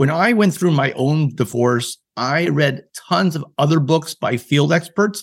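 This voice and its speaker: This man's voice sits fairly high for a man and is somewhat breathy. His intonation is lively. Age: 50s. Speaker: author. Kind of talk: interview.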